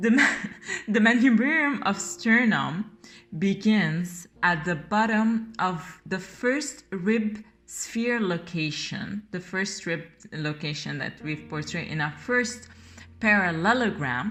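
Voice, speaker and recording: A woman with a French accent talks at a very slow pace and medium pitch. Her intonation is lively. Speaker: art teacher. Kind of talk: tutorial. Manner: halting, with fillers.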